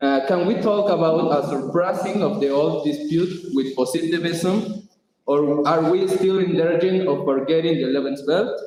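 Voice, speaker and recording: With a Spanish accent, a man speaks fairly slowly at a fairly high pitch with ordinary pitch variation, and audible room echo surrounds him. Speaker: audience member asking a question. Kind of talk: reading aloud a question. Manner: hesitant.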